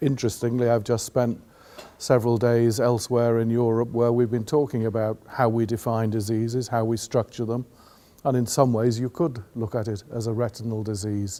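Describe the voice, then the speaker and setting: A man with an English accent speaks at a moderate pace and medium pitch in a dark, mellow tone with monotone, flat intonation. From England. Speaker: patient advocate. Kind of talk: interview. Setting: at a conference event in Ireland.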